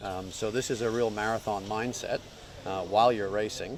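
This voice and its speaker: With an American accent, a man has an ordinary speaking voice, talking at a fairly quick pace with fairly low pitch and ordinary pitch variation. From New Zealand, raised elsewhere. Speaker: yacht racing co-skipper. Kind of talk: interview.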